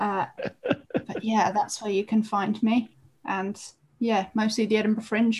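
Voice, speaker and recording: A woman's fairly high, somewhat breathy voice, with fairly even intonation at a moderate pace. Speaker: stand-up comedian. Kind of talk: casual chat.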